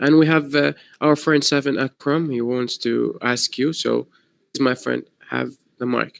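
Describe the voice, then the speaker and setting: Monotone, flat intonation from a man at a moderate pace, with a dry, close sound and no echo. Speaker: student moderator. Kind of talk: moderating Q&A. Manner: polite, hesitant.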